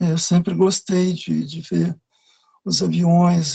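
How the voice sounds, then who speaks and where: In a dark, mellow tone, a woman speaks somewhat breathily at a fairly low pitch with monotone, flat intonation. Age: 60s. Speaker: retired air force servicewoman. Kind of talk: interview. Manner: halting.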